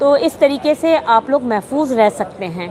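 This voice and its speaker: A woman's voice over noticeable background noise. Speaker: voice actor. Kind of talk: interview answer.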